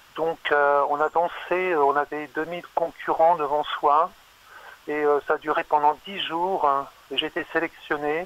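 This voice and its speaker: A man with a fairly high pitch speaks at a fairly slow pace in a monotone, flat intonation, with a dry, close sound with no echo and noticeable background noise. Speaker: caller. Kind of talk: casual chat. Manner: halting.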